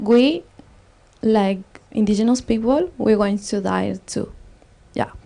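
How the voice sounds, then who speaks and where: In an Andean accent, the speaker talks at a very slow pace in a dark, mellow tone with ordinary pitch variation and long, frequent pauses. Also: woman, fairly high pitch for a woman. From Ecuador, Otavalo in the Andes. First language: Quechua. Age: young. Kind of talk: panel discussion. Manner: halting.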